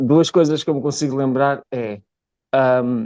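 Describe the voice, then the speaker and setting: A man's fairly high, dark, mellow voice at a fairly slow pace, with ordinary pitch variation and a dry, close sound with no echo. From northern Portugal, Braga. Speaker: actor and film director. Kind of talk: interview.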